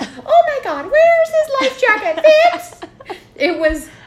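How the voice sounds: A squeaky, put-on character voice, extremely high in pitch and delivered at a very slow pace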